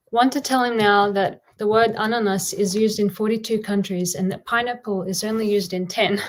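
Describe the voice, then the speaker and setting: With an Australian accent, a woman speaks at a medium pitch and a fairly quick pace, keeping her intonation fairly even and hardly pausing. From Australia, Bosnian-Serbian-Croatian family. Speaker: poet. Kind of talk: poetry reading.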